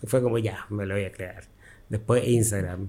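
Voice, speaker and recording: This man's delivery is monotone, with flat intonation. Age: 50s. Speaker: costume designer and tailor. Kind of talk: interview. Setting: his workshop.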